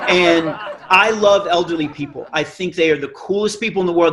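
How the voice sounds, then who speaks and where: Animated man's voice, high-pitched, at a fairly quick pace with ordinary pitch variation. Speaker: comedian. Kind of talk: stand-up.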